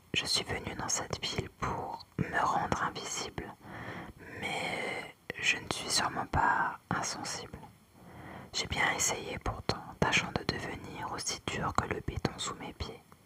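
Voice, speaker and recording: Noticeable background noise surrounds a woman who whispers very slowly. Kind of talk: whispered book reading, ASMR. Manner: whispered.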